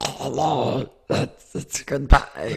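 This put-on character voice is raspy, at a low-to-middle pitch. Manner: funny voice.

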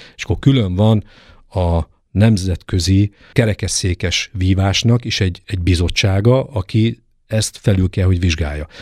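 On a very clean recording with a silent background and a dry, close sound without echo, a somewhat breathy man speaks at a fairly low pitch and moderate pace with ordinary pitch variation. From eastern Hungary, Debrecen. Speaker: fencing coach. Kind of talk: interview.

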